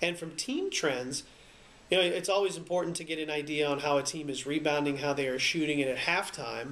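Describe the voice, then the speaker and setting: A man speaks at a fairly quick pace with a fairly high pitch. His is a normal speaking voice. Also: fairly even intonation. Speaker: sports radio broadcaster. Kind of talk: explaining play-by-play broadcasting technique in an interview-style talk. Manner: conversational, fluent.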